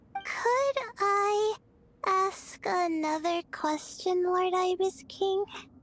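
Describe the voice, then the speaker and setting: Over music in the background, a woman uses a put-on character voice that is squeaky and extremely high in pitch, speaking at a very slow pace. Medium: video game. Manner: hesitant, soft-spoken.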